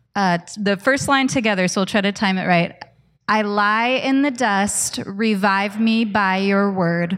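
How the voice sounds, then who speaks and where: A woman talks at a fairly slow pace in a medium pitch. It is an ordinary speaking voice with ordinary pitch variation. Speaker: church pastor. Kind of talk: scripture reading and introduction. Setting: church.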